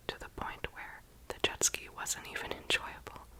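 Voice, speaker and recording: Whispering at a fairly slow pace, a woman with an American accent has a relaxed tone. Noticeable background noise can be heard. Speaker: ASMR content creator. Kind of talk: whispered travel vlog voiceover. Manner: whispered, relaxed, friendly.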